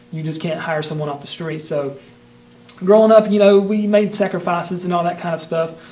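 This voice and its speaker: A man with a Southern US accent talks at a fairly quick pace in a high pitch. Noticeable background noise can be heard behind him. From US South, North Carolina. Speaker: martial arts instructor. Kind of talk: personal history monologue. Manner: casual with many fillers.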